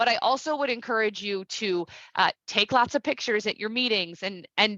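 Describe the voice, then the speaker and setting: In a dry, close sound with no echo and a quiet background, a woman speaks in a normal speaking voice at medium pitch with lively intonation. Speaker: civic education program presenter. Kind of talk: online presentation.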